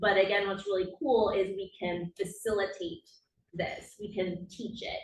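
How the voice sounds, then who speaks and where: A woman's medium-pitched voice comes through with a somewhat breathy quality. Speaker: occupational therapist. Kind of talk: conference presentation. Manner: deliberately slowed speech.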